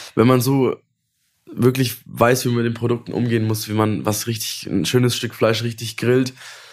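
A man talks in a normal speaking voice at a medium pitch and a moderate pace, with fairly even intonation. The recording is very clean, the background silent. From Franconia, near Nuremberg (Wendelstein). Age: 20s. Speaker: chef. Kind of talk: casual interview.

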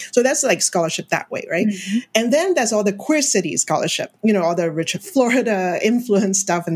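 At a fairly quick pace, a woman speaks in a somewhat breathy voice with ordinary pitch variation. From Hong Kong. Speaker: professor. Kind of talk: interview.

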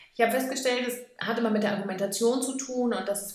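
The speech moves at a moderate pace. Room echo and background noise are both noticeable. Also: woman. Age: 30s. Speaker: dog trainer school director. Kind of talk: interview.

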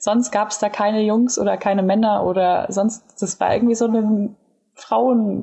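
A woman's fairly high, somewhat breathy voice unfolds fairly slowly, its intonation fairly even. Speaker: podcast co-host. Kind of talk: casual chat.

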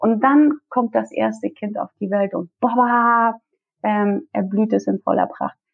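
With a Russian accent, a woman talks at a very slow pace. Her pitch is fairly high, with ordinary pitch variation. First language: Russian (speaking German). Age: 30s. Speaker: career coach. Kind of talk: interview. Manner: hesitant with many fillers.

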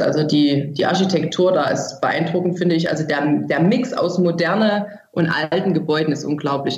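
Audible echo fills the room. Intonation is fairly even. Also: woman. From Germany, from a small village. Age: 30s. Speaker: author. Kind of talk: interview. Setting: remote call.

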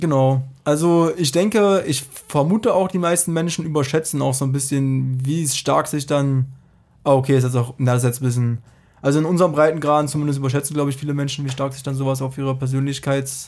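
An unremarkable speaking voice delivers the words fairly quickly, its intonation staying mostly level. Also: man, fairly high pitch for a man. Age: 30s. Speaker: statistics master's student. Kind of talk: casual interview.

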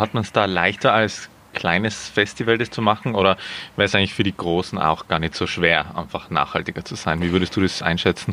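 A man's very deep, low voice with a bright, sharp tone, fairly even intonation and a fairly quick pace. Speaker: podcast host. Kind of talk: interview. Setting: outdoors in a garden.

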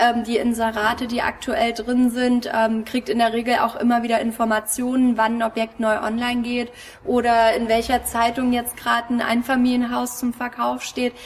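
Noticeable background noise runs through the clip. The speech moves at a moderate pace with monotone, flat intonation. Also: woman, fairly high pitch for a woman. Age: 30s. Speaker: real estate agent. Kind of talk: interview.

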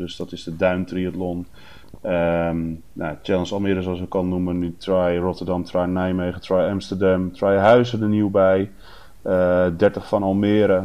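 Speaking with a flat, monotone intonation, a man talks at a fairly slow pace in a very deep, low pitch. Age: 30s. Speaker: race announcer, event organizer. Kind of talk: casual chat.

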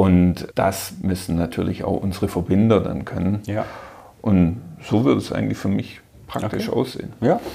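A man's fairly low, dark and mellow voice with vocal fry, moderate pace and ordinary pitch variation. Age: 40s. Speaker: technical director. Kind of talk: interview. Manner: halting.

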